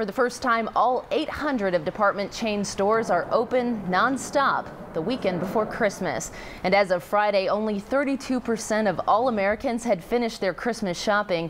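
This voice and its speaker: Noticeable background noise runs under this voice. The speaker moves at a moderate pace with lively intonation. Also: woman. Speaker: TV news anchor. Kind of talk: TV news anchor read.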